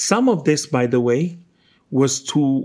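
A man's fairly high voice in an Israeli accent, very slow and with lively intonation, on a very clean recording with a silent background. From Israel, Jerusalem. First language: Hebrew. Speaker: novelist. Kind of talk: interview. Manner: halting.

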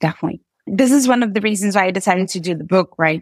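Fairly quick speech in a Portuguese accent, with a dry, close sound and no echo. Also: woman. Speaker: software engineer and author. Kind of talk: interview.

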